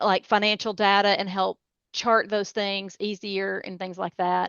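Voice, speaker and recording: A woman with a Tennessee accent speaks at a fairly slow pace in a medium pitch, her intonation flat and monotone. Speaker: cybersecurity expert. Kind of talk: interview.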